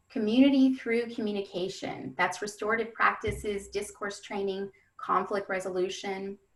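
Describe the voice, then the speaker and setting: At a moderate pace and medium pitch, she speaks in a plain, everyday voice. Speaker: education webinar presenter. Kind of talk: webinar presentation. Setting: webinar.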